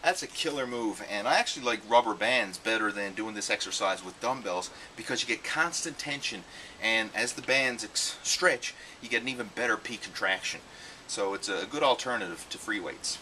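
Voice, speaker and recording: Ordinary pitch variation at a moderate pace, over light background noise. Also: man. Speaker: fitness trainer. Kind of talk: tutorial. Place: garden.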